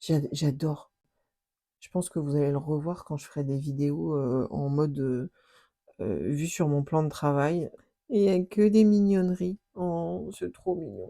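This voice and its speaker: On a very clean recording with a silent background, a woman with a very deep, low pitch and a dark, mellow tone speaks at a fairly slow pace. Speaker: scrapbooking youtuber. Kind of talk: unboxing chat. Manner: animated, exclamatory.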